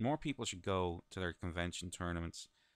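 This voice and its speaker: In a very clean, silent recording with a dry, close sound and no echo, a man with an Irish accent talks at a very fast pace in a very deep, low voice. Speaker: gaming video commentator. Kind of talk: let's play commentary. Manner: casual, chatty.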